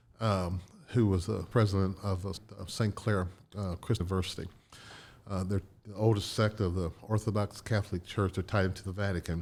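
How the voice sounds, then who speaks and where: This man's voice sits fairly low and is somewhat breathy. His intonation stays monotone and flat. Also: fairly quick pace. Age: 70s. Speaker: entrepreneur. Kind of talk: podcast interview. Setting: studio.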